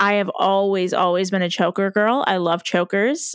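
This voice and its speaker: Speaking at a moderate pace, a woman with an American accent has a medium pitch and fairly even intonation. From US Midwest, Iowa. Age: 30s. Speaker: podcast co-host. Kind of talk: casual chat.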